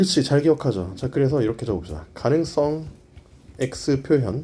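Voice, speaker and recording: A man's medium-pitched voice with a dark, mellow tone, vocal fry and lively intonation, at a moderate pace. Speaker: English grammar lecturer. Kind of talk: lecture. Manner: calm, soothing.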